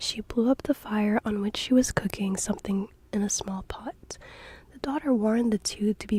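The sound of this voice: The delivery comes in an unforced reading voice.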